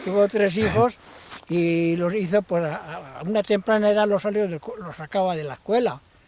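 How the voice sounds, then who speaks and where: With noticeable background noise behind him, a man speaks at a high pitch and a moderate pace, with big swings in loudness. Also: ordinary pitch variation. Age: 70s. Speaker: winegrower. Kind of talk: interview. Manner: halting.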